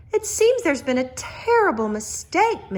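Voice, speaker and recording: Speaking at a moderate pace, a woman puts on a squeaky character voice with an extremely high pitch and very wide pitch swings. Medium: read story.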